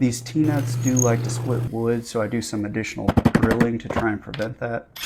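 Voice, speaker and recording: Over noticeable background noise, a man speaks at a medium pitch and moderate pace with monotone, flat intonation. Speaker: woodworking hobbyist. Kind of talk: narrated build tutorial. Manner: casual.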